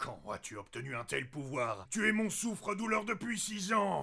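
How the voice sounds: A cartoonish character voice, raised and projected, raspy, with very wide pitch swings, a moderate pace and light background noise. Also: man, high pitch for a man.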